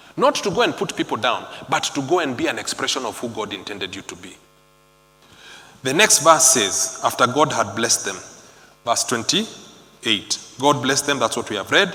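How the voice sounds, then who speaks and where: With noticeable background noise behind him, a man of medium pitch talks at a moderate pace, leaving long, frequent pauses, with very wide pitch swings and big swings in loudness. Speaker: preacher. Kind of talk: sermon.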